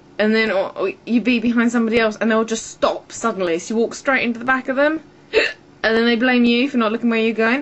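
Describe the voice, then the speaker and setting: With an English accent, a woman speaks at a very fast pace in a fairly high pitch. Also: fairly even intonation. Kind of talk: casual talk to camera. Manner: irritated, ranting.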